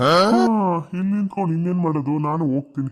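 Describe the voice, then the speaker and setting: A man's cartoonish character voice, fairly high in pitch, at a moderate pace. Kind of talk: mock-poetic lament.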